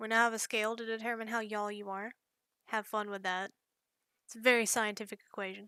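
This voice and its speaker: A fairly high-pitched woman with a slight Southern US accent, very fast yet with long, frequent pauses, a bright, sharp tone, monotone, flat intonation and big swings in loudness. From US South, rural north Georgia mountains. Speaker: digital artist. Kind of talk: casual chat.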